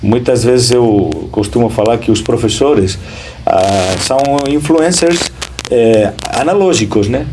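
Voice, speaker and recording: A man with a Spanish accent speaks at a very slow pace. Noticeable background noise and audible room echo surround him. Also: medium pitch for a man, lively intonation. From Spain. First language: Spanish (speaking Portuguese). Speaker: school principal. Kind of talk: interview. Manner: hesitant, many fillers.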